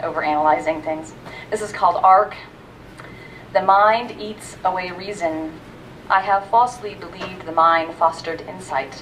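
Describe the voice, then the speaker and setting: The speech has ordinary pitch variation and a moderate pace, with big swings in loudness. Long, frequent pauses break it up against noticeable background noise. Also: woman, medium pitch for a woman. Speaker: university staff member reading own poems. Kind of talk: poetry reading. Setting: library reading with audience. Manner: soft-spoken.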